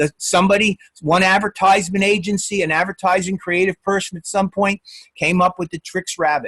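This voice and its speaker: A fairly quick-paced man with a high pitch and a bright, sharp tone. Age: 60s. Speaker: college instructor. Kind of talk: lecture. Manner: halting; casual.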